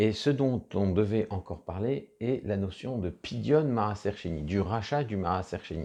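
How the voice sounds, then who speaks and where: A man with a fairly low pitch and a dark, mellow tone speaks with ordinary pitch variation against a quiet background. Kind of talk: religious lecture. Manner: halting, many fillers and restarts.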